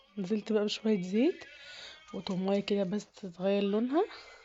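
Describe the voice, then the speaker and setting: With an Egyptian accent, a woman talks at a moderate pace and a medium pitch. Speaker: home cooking youtuber. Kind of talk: cooking tutorial. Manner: casual, conversational.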